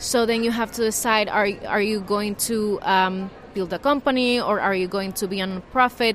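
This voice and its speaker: With a Spanish accent, a woman speaks at a moderate pace in a medium pitch and fairly even intonation, with noticeable background noise behind her. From Nicaragua. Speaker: journalist and membership program manager. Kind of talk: interview. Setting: journalism festival venue.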